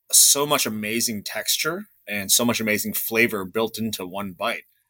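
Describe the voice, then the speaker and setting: This man has an American accent. The sound is dry and close, with no echo. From Chicago suburbs. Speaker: pizzeria owner. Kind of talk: interview.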